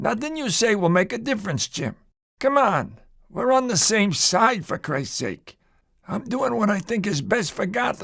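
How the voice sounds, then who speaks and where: A man's raspy, put-on character voice, high in pitch, with lively intonation at a moderate pace. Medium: cartoon. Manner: stern, lecturing.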